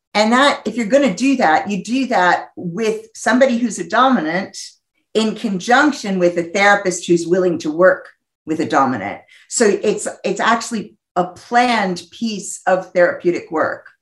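A somewhat breathy woman's voice in an American accent, medium in pitch, with lively intonation at a moderate pace. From US Northeast. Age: 50s. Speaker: psychologist and sex therapist. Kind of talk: interview.

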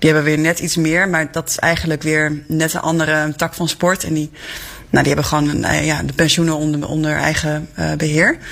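This woman has a very deep, low pitch and a monotone, flat intonation. She speaks at a fairly quick pace. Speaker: newspaper journalist. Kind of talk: news discussion.

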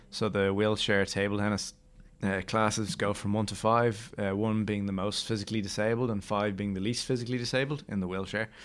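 An Irish accent from a man with a fairly low pitch, fairly quick pace and fairly even intonation, on a very clean recording with a silent background. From Ireland. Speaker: Paralympic wheelchair table tennis player. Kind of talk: interview.

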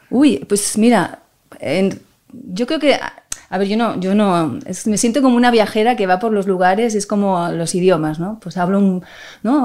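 At a moderate pace, a woman speaks at a medium pitch with ordinary pitch variation in a plain, everyday voice. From Spain, Barcelona (Catalonia). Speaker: violinist. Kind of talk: interview conversation.

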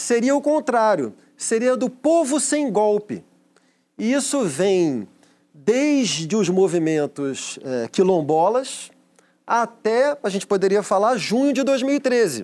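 Very slow delivery with very wide pitch swings, on a very clean recording with a silent background. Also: man. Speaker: panelist and commentator. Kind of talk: talk show debate.

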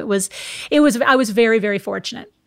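Speaking with an American accent, a woman uses a plain, everyday voice, fairly high in pitch with ordinary pitch variation. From US Midwest, Minnesota. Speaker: former TV sports reporter. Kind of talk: interview conversation.

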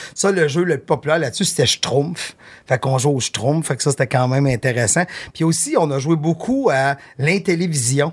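With a Quebec accent, a man speaks at a moderate pace in a fairly high, somewhat breathy voice with ordinary pitch variation and very even loudness, on a very clean recording with a silent background. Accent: Québécois French. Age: 50s. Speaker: talent manager. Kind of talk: casual chat.

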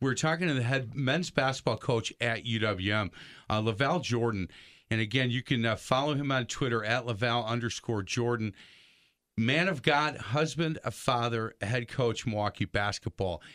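A man with a plain, everyday voice speaks at medium pitch and a moderate pace, with ordinary pitch variation, over a quiet background. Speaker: radio host. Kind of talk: radio interview. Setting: studio.

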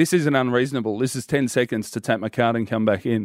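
A man with an Australian accent and a medium pitch talks at a fairly quick pace on a very clean recording with a silent background. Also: dry, close sound with no echo. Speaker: radio host. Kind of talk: casual chat. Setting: studio.

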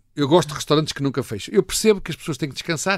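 This is a man speaking. His intonation is lively. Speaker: food critic. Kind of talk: casual chat. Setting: studio.

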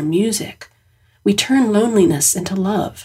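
A somewhat breathy, warm-toned woman's voice at medium pitch, with ordinary pitch variation and a fairly slow pace. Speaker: writer reading own essay. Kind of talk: literary essay reading, reflective personal essay read aloud. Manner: measured, warm, earnest and reflective.

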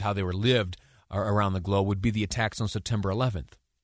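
Here a man speaks at a fairly low pitch. The background is quiet. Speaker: radio talk show host. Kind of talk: talk radio monologue. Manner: fast talker; halting, many fillers.

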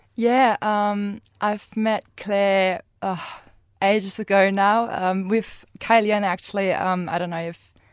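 Spoken at a very slow pace with a German accent, the voice stays monotone and flat on a very clean recording with a silent background. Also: woman, medium pitch for a woman. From Germany. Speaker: former au pair. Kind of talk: casual chat.

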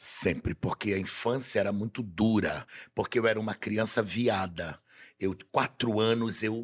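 On a very clean recording with a silent background and a dry, close sound with no echo, a man with an unremarkable speaking voice talks at a fairly slow pace, medium pitch and ordinary pitch variation. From Belém, Pará, Brazil. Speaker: carnival designer and TV personality. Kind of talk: casual chat. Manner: flamboyant, theatrical.

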